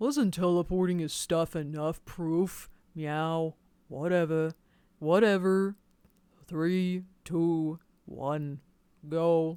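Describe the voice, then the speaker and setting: Putting on a character voice with a bored tone, a man speaks at a high pitch and a very slow pace with long, frequent pauses, on a very clean recording with a silent background. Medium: read story. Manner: monotone, bitter, bored.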